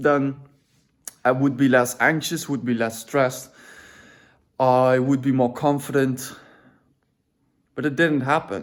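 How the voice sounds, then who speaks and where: This man speaks at a medium pitch with a non-native accent. His intonation is monotone and flat. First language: not English. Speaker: vlogger. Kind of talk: personal vlog monologue. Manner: halting, self-correcting; casual.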